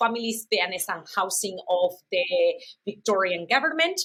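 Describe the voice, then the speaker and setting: A woman with a non-native accent speaks at a moderate pace, her fairly high voice rising and falling in a lively way. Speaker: university program manager, interpreter trainer. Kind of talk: podcast interview.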